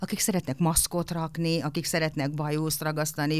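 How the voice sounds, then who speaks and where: This woman's voice sits very deep and low. She talks at a moderate pace. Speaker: voice actor. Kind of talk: interview. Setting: studio.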